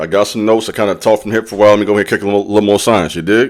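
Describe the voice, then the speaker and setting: A man with a fairly low pitch and an animated tone, on a very clean recording with a silent background. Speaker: spiritual self-improvement youtuber. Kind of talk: motivational talk to camera. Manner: animated, repetitive emphasis.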